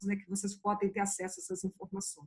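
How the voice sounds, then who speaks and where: This speaker is a woman. There is some breathiness in her voice. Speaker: museum project co-founder. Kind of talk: panel discussion.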